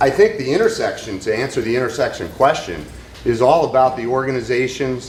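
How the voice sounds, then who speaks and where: Audible room echo follows a man's voice. Noticeable background noise is also present. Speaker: business executive. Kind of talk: audience comment at panel. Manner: loud.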